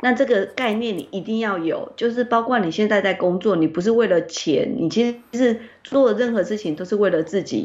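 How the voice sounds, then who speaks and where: Speaking at a moderate pace with hardly any pauses, a woman uses a fairly high pitch and ordinary pitch variation. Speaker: publishing editor-in-chief discussing a book. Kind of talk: online interview about a book. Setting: online call. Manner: expressive, emotive delivery.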